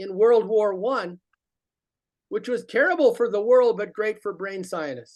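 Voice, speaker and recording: Lively in intonation and animated in tone, a man with a high pitch speaks at a fairly slow pace. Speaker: teacher trainer. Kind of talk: workshop presentation. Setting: video broadcast.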